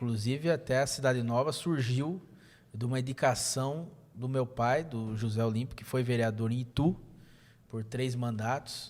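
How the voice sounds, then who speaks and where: With an unremarkable speaking voice, a man talks at a medium pitch and moderate pace with fairly even intonation. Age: 30s. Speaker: state legislator. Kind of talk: podcast interview.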